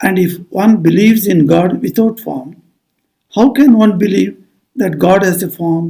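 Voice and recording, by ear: Against quiet surroundings, a natural voice reads aloud, its pitch varying in an ordinary way.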